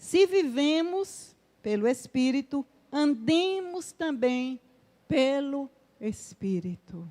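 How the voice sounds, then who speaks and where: A high-pitched woman's voice, very slow, with very wide pitch swings. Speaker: preacher. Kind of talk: sermon.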